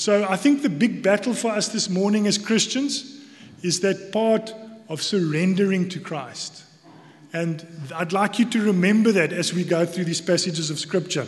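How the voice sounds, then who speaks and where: A man with a South African accent and a high pitch at a moderate pace, with ordinary pitch variation and noticeable background noise. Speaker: church elder giving sermon. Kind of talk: sermon. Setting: church.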